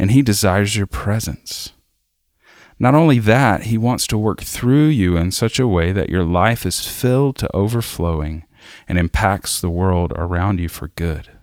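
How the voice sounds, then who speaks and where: Recorded very cleanly against a silent background, a man with a fairly low pitch speaks at a moderate pace with lively intonation. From US South, South Arkansas. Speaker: worship leader. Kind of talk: devotional reading.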